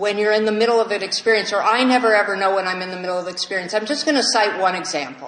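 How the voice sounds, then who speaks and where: A woman talks with an American accent in a fairly high voice. Her intonation is lively. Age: 60s. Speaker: AA speaker. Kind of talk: recovery talk Q&A. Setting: meeting with audience.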